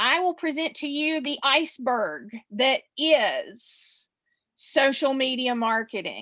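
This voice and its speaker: This woman has a high-pitched, bright, sharp voice with a South Carolina accent. She speaks very slowly in a raised, projected voice with ordinary pitch variation. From US South, South Carolina. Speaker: social media marketing expert. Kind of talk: webinar presentation.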